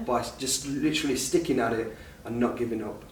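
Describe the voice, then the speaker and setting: There is noticeable background noise in this clip. A man speaks at a medium pitch. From Derby, England. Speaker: Bhangra singer. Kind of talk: interview answer. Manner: casual, chatty.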